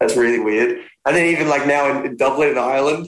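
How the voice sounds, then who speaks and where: A man with an Australian accent speaks at a fairly high pitch. His pace is fairly quick. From Australia, Melbourne. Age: 20s. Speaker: singer-songwriter. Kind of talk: interview.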